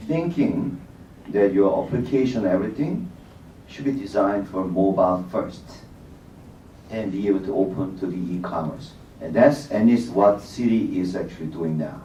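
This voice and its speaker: Against audible room echo, a man with a Korean accent speaks at a moderate pace and fairly low pitch, his intonation lively and his pauses long and frequent. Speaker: bank technology executive, panelist. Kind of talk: panel discussion.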